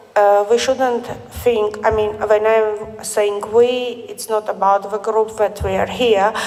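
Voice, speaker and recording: The delivery is very slow, in a monotone, flat intonation. Noticeable background noise is present. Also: woman. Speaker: scholar at academic congress. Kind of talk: round table discussion. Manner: halting.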